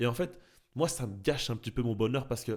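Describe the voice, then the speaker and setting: In a very clean recording with a silent background, a man uses an animated tone, a medium pitch and ordinary pitch variation. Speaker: football YouTuber. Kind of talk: video commentary. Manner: fast.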